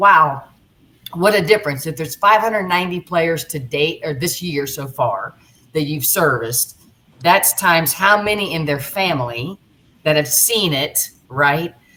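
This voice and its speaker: A woman's very deep, low voice with lively intonation over noticeable background noise. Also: moderate pace. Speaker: podcast co-host. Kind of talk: interview. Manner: halting, repeats words.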